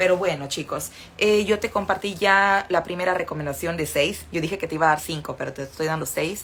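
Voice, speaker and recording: In a northern Mexican accent, a woman talks at a fairly quick pace with a fairly low pitch and ordinary pitch variation. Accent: northern Mexican, sing-song. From northern Mexico. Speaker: Spanish teacher. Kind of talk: livestream lesson.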